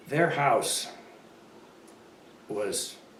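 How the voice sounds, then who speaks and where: Noticeable background noise accompanies the recording. The man's voice carries audible room echo. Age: 90s. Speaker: local elder interviewee. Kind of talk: oral history interview. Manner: halting.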